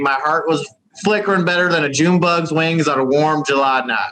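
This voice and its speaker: A man with a Southern accent talks at a fairly quick pace in a fairly high pitch with ordinary pitch variation. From West Virginia. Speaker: caller from abroad. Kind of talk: casual chat.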